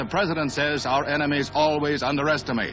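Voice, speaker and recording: A man's fairly high voice at a fairly quick pace, with music in the background. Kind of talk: newsreel narration.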